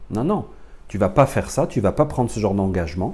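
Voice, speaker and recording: This man has a dark, mellow tone that comes across as somewhat breathy. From France. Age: 40s. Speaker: spiritual teacher. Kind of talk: lecture.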